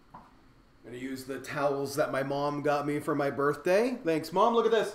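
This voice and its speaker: Speaking at a moderate pace with an American accent, a man's voice swings very widely in pitch against audible room echo. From Ohio, Youngstown. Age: 30s. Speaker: cooking YouTuber. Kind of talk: casual live stream chat. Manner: rambling, casual.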